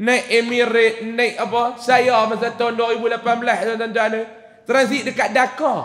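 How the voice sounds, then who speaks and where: A man with a Kedah accent speaks at an extremely high pitch, in a monotone, flat intonation. His fairly slow delivery carries audible room echo. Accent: northern Malay (Kedah) dialect. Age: 30s. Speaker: preacher. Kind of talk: religious lecture. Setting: mosque with audience. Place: church. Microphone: headset.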